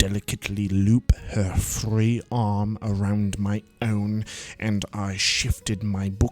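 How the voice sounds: The voice reads naturally.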